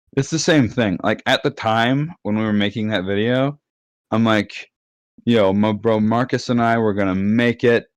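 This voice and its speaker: A man talks in a plain, everyday voice at a medium pitch and moderate pace. His loudness is very even and his pitch varies in an ordinary way, in a very clean recording with a silent background. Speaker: gamer and online friend. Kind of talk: casual chat.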